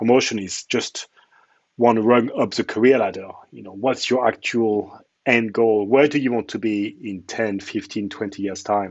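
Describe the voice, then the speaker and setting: This man speaks with a French accent at a medium pitch, with ordinary pitch variation. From France. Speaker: cloud architect, conference speaker. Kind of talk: conference talk.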